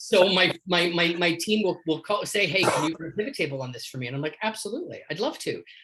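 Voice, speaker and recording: A man with a Canadian accent speaks at a very fast pace and high pitch, with lively intonation and big swings in loudness. Noticeable background noise runs underneath. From Canada. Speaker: leadership coach. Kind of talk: casual chat. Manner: animated.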